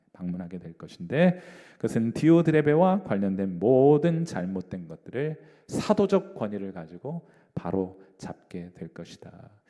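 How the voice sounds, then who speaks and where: In a dark, mellow tone, a man speaks at a fairly slow pace, his pitch swinging very widely and his loudness shifting a great deal. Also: medium pitch for a man. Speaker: pastor. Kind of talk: bible study lecture.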